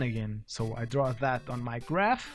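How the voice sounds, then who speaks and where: A man speaks at a moderate pace with a non-native accent. Music plays in the background. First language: not English. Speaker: gaming youtuber explaining math. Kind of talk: let's play tutorial. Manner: halting, many fillers and restarts.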